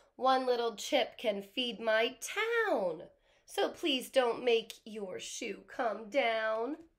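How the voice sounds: A woman does a put-on character voice at a fairly high pitch. She speaks very slowly with lively intonation.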